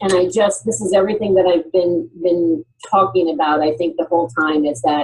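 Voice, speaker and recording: Fairly low in pitch, a woman speaks in an unremarkable speaking voice. Her pace is moderate. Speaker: HR talent development executive. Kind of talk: panel presentation.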